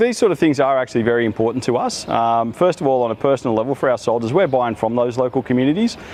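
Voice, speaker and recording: Talking at a very fast pace, a man has an Australian accent and a medium pitch with ordinary variation. Noticeable background noise is present. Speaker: army officer. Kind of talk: interview.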